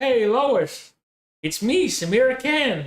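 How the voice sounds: A put-on character voice, high-pitched and fairly slow, done in a New Jersey accent.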